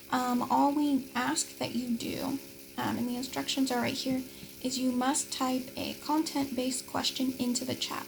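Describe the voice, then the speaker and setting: Noticeable background noise behind a woman's voice, the pace moderate. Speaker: teaching assistant. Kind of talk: course overview tutorial. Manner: casual, filler-heavy.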